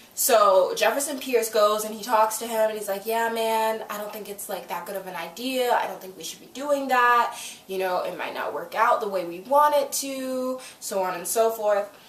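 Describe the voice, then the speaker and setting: Talking at a moderate pace with hardly any pauses, a woman with a fairly high pitch sounds animated, her ordinary pitch variation paired with big swings in loudness, amid noticeable background noise and audible room echo. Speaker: YouTuber reviewing TV episodes. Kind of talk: casual recap vlog.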